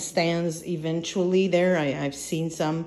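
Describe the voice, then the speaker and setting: A woman with a French Canadian accent, speaking at a fairly slow pace. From Quebec. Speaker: vlogger. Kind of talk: casual vlog. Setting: home apartment. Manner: halting, many fillers.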